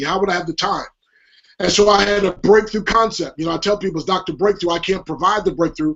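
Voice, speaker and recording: A man with an animated tone, high in pitch, talking at a very fast pace. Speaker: motivational speaker and author. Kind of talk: interview.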